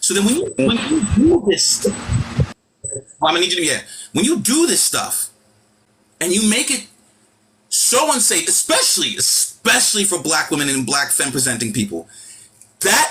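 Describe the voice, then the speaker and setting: A man with a New York accent talks at a moderate pace in a high voice. His pitch swings very widely, and he leaves long, frequent pauses. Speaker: live stream host. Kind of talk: heated rant. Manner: loud; animated.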